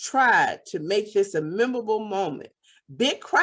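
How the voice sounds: The clip has a natural reading voice and a quiet background.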